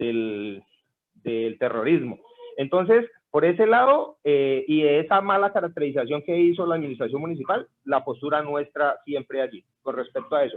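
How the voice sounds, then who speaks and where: This man talks at a moderate pace in a fairly high pitch, his intonation lively. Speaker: street vendor leader. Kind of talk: group meeting discussion. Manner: halting.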